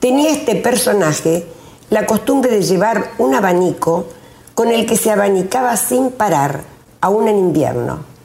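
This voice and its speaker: A woman at a medium pitch speaks with lively intonation and very even loudness at a fairly slow pace. Audible room echo and noticeable background noise fill the recording. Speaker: retired teacher, local storyteller. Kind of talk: reading aloud. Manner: formal.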